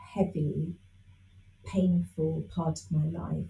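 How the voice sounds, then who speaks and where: Speaking at a very slow pace, a woman shows vocal fry. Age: 60s. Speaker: spiritual teacher. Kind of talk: interview. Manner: hesitant with fillers.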